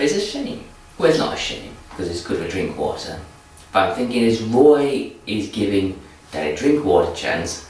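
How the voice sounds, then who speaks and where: A man with an English accent speaks at a moderate pace in a medium pitch, his pitch swinging very widely. Noticeable background noise and audible room echo fill the recording. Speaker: football vlogger. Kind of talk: casual vlog commentary. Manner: repetitive restarts.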